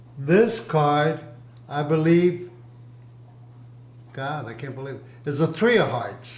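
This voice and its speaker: Amid audible room echo and noticeable background noise, a man with a fairly high pitch speaks at a very slow pace with lively intonation, big swings in loudness and long, frequent pauses. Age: 80s+. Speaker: grandfather interviewed by his child. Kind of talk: family interview.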